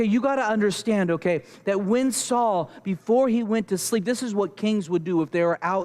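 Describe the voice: Someone reads aloud plainly, with ordinary pitch variation.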